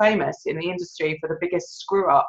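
A woman speaks at a fast pace with a low pitch and a slightly husky edge. Her intonation stays fairly even.

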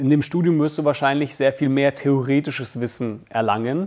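Fairly high in pitch for a man, a normal speaking voice with ordinary pitch variation and a moderate pace. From Germany, Bamberg (Franconia), Russian-German resettler family. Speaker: filmmaker, YouTuber. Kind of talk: casual vlog monologue. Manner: casual, many fillers.

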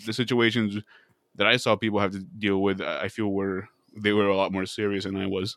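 With an American accent and a plain, everyday voice, a man talks at a fairly quick pace and fairly low pitch. His intonation is fairly even, and the recording is very clean with a silent background. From Arizona, Casa Grande. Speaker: podcast co-host. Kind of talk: casual chat.

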